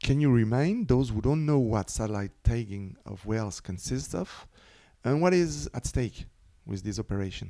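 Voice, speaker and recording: With a French accent, a man speaks in a dark, mellow tone marked by very wide pitch swings. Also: medium pitch for a man, moderate pace. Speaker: podcast host. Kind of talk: interview. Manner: reading prepared questions.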